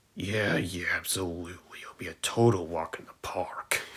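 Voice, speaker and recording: A man's put-on character voice, very deep and low, raspy and smug in tone, at a moderate pace. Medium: read story. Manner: smug, boastful.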